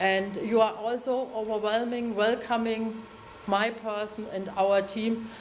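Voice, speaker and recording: Amid noticeable background noise and audible room echo, a woman with a German accent speaks at a fairly slow pace in a fairly high, monotone, flat voice. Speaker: mayor of twin town. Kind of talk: formal ceremonial speech. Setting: town hall reception with audience. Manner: halting.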